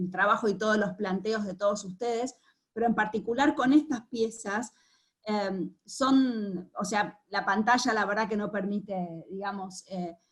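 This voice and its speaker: A woman's medium-pitched voice is somewhat breathy, and its pitch varies by an ordinary amount. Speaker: art curator moderating artist talk. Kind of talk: panel conversation. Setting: video call. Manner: halting.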